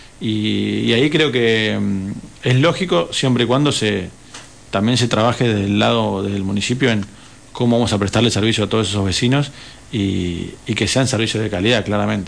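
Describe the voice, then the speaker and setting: Audible room echo surrounds a man speaking at a moderate pace in a fairly low voice, with ordinary pitch variation and very even loudness. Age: 30s. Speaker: mayoral candidate. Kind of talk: radio interview.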